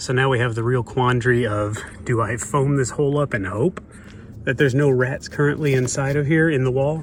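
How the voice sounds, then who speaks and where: A man's medium-pitched delivery, an ordinary speaking voice, moves at a fairly quick pace. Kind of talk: DIY video narration. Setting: outdoors at backyard shed. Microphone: poor audio quality, no fancy mic.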